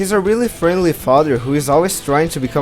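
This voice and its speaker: Music plays in the background as a man's voice moves through very wide pitch swings. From Brazil. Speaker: cartoon reviewer. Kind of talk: video review voice-over.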